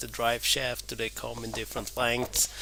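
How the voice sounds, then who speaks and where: A man speaks with a non-native accent. Noticeable background noise runs under his voice. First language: not English. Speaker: DIY car repair vlogger. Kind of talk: voiceover narration of repair video. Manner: hesitant, many fillers and repeats.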